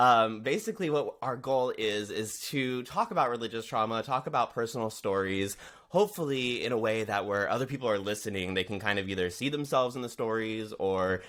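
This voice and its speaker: An unremarkable speaking voice with ordinary pitch variation. It moves at a fairly quick pace with hardly any pauses. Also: man, medium pitch for a man. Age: 30s. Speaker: podcast host. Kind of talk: interview podcast.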